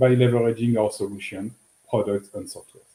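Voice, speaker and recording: Dark, mellow, somewhat breathy tones from a man. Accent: French. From France. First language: French. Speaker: business executive. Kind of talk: interview.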